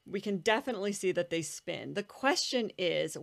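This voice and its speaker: A woman's unremarkable speaking voice at medium pitch, in an American accent, with lively intonation, on a very clean recording with a silent background. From United States. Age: 40s. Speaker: nuclear physicist. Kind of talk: interview conversation.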